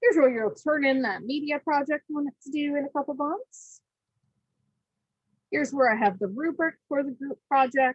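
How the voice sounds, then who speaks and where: Lively intonation marks a woman's high-pitched speech. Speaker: college instructor. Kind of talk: lecture. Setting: video call. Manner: fast.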